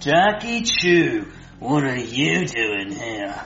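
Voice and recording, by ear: Doing a cartoonish character voice, a man speaks at a very slow pace in a medium pitch with big pitch swings and a fairly bright tone, amid audible room echo.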